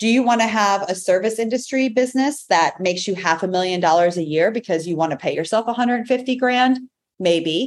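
A woman with a normal speaking voice, medium pitch, ordinary pitch variation and a moderate pace. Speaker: entrepreneur and breast cancer survivor. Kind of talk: podcast interview.

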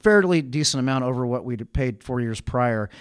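A man with an American accent, medium pitch, at a moderate pace. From Richmond, California. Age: 40s. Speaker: architect and city council candidate. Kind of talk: casual chat. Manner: halting.

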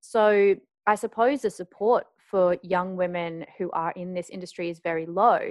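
With an Australian accent, a woman at medium pitch talks at a moderate pace with fairly even intonation, in a dry, close sound with no echo and a quiet background. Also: big swings in loudness. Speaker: podcast host, journalist and sex educator. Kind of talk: casual interview chat.

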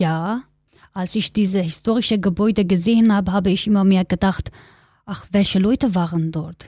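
A somewhat breathy woman with a dark, mellow tone, fairly even intonation and moderate pace, in a dry, close sound with no echo on a very clean recording with a silent background. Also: medium pitch for a woman. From Kurdistan, Turkey. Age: 20s. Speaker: interviewee, migrant activist. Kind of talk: interview.

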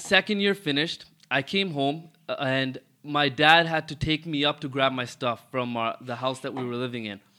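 A man with a Toronto accent speaks in a bright, sharp tone. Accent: Toronto Canadian English. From Toronto, Canada (Rexdale). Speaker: car dealership owner. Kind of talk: casual interview.

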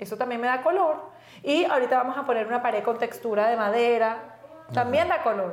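A woman's high-pitched voice at a fairly quick pace, over noticeable background noise. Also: ordinary pitch variation. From Venezuela, raised in Valencia. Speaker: podcast co-host. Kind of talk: casual chat.

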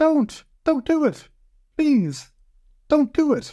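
Someone does a put-on character voice with a high pitch at a very slow pace. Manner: pleading, frightened.

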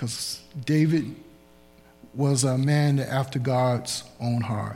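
A man speaks at a very slow pace with fairly even intonation. His voice is somewhat breathy. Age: 60s. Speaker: preacher. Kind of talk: sermon. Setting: church.

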